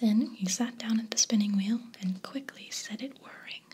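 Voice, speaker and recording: Over light background noise, a soft-spoken voice moves at a fairly slow pace. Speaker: storybook reader. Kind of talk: storytelling read-aloud. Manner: soft, hushed bedtime-story reading voice.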